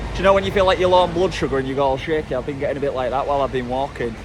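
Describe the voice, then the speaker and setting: With noticeable background noise behind him, a man talks in a fairly high, animated voice with ordinary pitch variation. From northern England, Hull. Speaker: travel vlogger. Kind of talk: casual vlog talk to camera.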